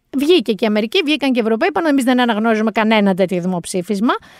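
A woman's fairly high, animated voice with lively intonation, on a very clean, dry, close recording with no echo and a silent background. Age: 40s. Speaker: podcast host. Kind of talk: casual chat.

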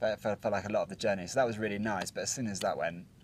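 Over light background noise, the speaker goes at a very fast pace with ordinary pitch variation. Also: man. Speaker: travel vlogger. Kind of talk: casual vlog chat. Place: open country.

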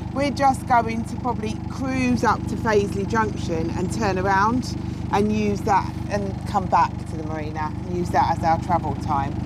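A woman's moderately paced speech with hardly any pauses, dry with no echo, over loud background noise. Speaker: boating vlogger. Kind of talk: casual vlog chat. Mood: cheerful, laughing. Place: forest. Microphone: lapel.

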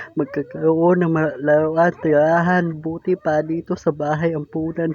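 At a moderate pace, a man speaks with a high pitch and monotone, flat intonation. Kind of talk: spoken word poetry; spoken word poem in Tagalog, performed in the voice of an orphaned child. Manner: emotional, pained and pleading, with rhetorical questions; dramatic delivery with pauses, building to a bitter, resigned final line.

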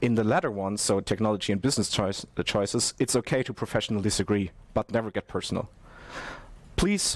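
A man with a normal speaking voice, fairly low pitch and fairly quick pace, in a dry sound with no echo. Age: 20s. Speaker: network architect; conference presenter. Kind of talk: conference presentation. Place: studio.

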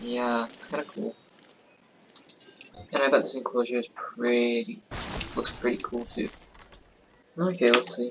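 Quiet, fairly slow speech with ordinary pitch variation and long, frequent pauses, with music in the background. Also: man, medium pitch for a man. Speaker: gaming youtuber. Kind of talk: let's play commentary. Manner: casual, animated.

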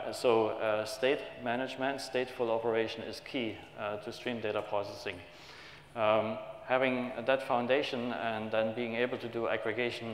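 Audible room echo hangs around the voice. A man delivers his words in a flat monotone. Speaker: conference presenter. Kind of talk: technical conference talk. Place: hall.

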